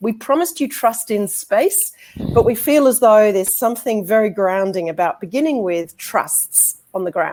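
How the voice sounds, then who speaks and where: A woman's fairly high voice with an Australian accent, on a very clean recording with a silent background. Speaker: law lecturer and barrister. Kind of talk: conference presentation.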